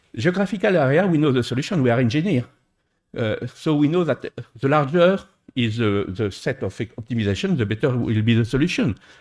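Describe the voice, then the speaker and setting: In a French accent, a man speaks at a medium pitch and a fairly quick pace with very wide pitch swings. The recording is very clean, with a silent background. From France. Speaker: engineer, conference panelist. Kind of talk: conference panel talk. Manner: halting, many hesitations.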